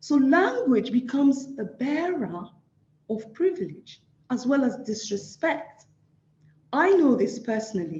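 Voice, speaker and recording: A woman's high voice in an African accent, dark and mellow in tone, with very wide pitch swings, big swings in loudness, long, frequent pauses and audible room echo. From Nigeria. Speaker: social work academic. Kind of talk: lecture.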